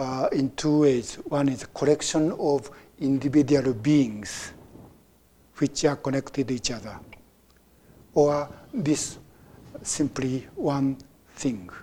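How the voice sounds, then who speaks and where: With a Japanese accent, the speaker goes at a very slow pace marked by long, frequent pauses. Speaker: Zen teacher. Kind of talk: dharma talk. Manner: halting.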